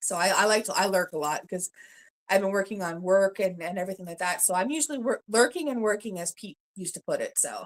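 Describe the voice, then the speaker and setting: Speaking at a very fast pace with a Canadian accent, a woman of medium pitch uses an animated tone, ordinary pitch variation and big swings in loudness on a very clean recording with a silent background. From Ontario, Canada. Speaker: family vlogger. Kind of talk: casual live stream chat.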